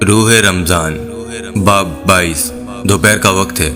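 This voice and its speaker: A man speaks in a very deep, low voice with ordinary pitch variation while music plays in the background. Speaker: voiceover artist. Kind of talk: serialized story narration.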